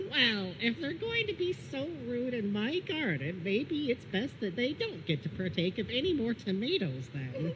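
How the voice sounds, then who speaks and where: A cartoonish character voice runs on with hardly any pauses at a fairly high pitch. Loud background noise sits under it. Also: moderate pace. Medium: puppet show. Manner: polite, genteel, earnest.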